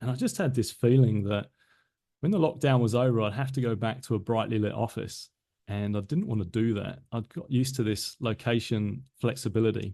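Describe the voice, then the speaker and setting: Over a quiet background, a man with a slight British accent speaks at a fairly quick pace, his medium-pitched voice dark and mellow with ordinary pitch variation. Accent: slightly British. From south London, England. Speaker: business systems consultant, former tech manager. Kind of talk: podcast interview.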